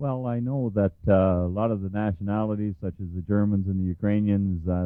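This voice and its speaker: In a normal speaking voice, a man with a fairly low pitch moves at a fairly quick pace with ordinary pitch variation. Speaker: radio show host. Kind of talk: radio interview.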